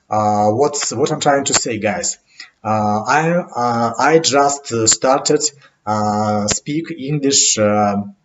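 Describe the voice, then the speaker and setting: A man speaks very slowly with a non-native accent, his medium pitch carrying ordinary variation. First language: not English. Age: 30s. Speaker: English learner vlogger. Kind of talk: unscripted monologue podcast. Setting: home webcam recording. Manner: halting, many fillers.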